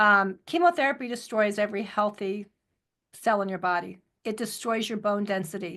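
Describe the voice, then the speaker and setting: At a moderate pace, a woman with a bright, sharp tone and medium pitch speaks with ordinary pitch variation over a quiet background. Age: 60s. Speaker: cancer survivor, product advocate. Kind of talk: testimony. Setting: audio chat.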